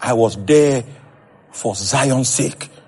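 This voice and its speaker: Through noticeable background noise, a man speaks in a passionate tone at a medium pitch. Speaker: preacher. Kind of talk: sermon.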